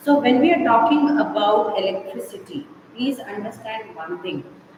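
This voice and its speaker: Over noticeable background noise and audible room echo, a woman speaks at a fairly slow pace with a fairly high pitch and very wide pitch swings. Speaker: school teacher. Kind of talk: online class lecture. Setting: online live class.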